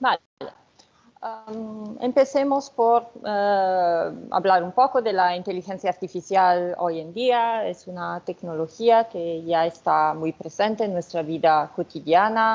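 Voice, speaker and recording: The speaker has a non-native accent and talks at a very slow pace. Loudness swings widely while pitch varies in an ordinary way. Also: woman, medium pitch for a woman. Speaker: researcher, sociologist. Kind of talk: academic lecture.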